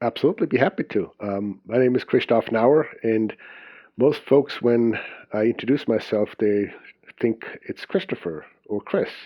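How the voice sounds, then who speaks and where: Moderate pace in a Swiss accent, with ordinary pitch variation. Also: man, medium pitch for a man. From Switzerland (Zurich). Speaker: business and time management coach. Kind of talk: podcast interview.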